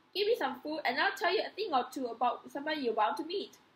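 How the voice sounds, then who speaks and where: A woman puts on a squeaky character voice, high in pitch with very wide pitch swings. She speaks at a very fast pace. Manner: wheedling, hungry.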